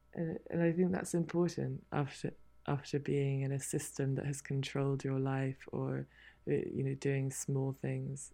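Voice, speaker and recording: The speaker is a woman with a British accent. Behind her, the background stays quiet. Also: fairly slow pace. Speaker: author and endurance horse racer. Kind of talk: interview chat.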